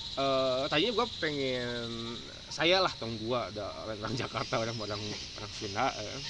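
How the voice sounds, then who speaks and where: In a recording with audible room echo and noticeable background noise, a man talks at a moderate pace with a medium pitch and ordinary pitch variation. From West Java, Indonesia (Sundanese). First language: Sundanese (speaking Indonesian). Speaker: video host. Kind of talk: casual chat.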